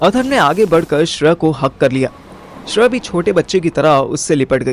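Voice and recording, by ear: Pitched fairly high, a man talks at a fairly quick pace with big pitch swings.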